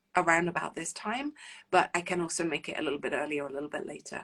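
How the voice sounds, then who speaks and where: A woman speaks with a London accent. Her pitch sits fairly low. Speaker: relationship coach. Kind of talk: live stream talk to viewers. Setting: live stream. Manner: hesitant, many fillers.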